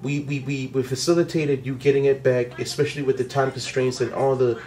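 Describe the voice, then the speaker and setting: A man speaks in a normal speaking voice, pitched fairly high. His pace is fairly quick. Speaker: vlogger. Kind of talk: casual chat.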